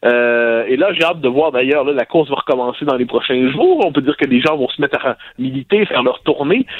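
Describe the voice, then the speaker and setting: Very fast speech from a man, fairly high in pitch, with ordinary pitch variation. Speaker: sociologist and columnist. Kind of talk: radio commentary.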